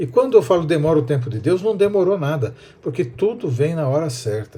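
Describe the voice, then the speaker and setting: A man's fairly high-pitched, somewhat breathy voice with a dark, mellow tone, very wide pitch swings and a fairly quick pace. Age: 60s. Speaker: preacher. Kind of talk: sermon.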